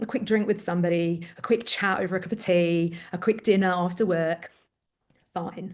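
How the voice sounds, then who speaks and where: A woman speaks with an English accent at a medium pitch. Her pace is moderate and her intonation fairly even. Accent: English-sounding. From Greece, Athens. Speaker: parent coach, former teacher. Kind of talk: interview.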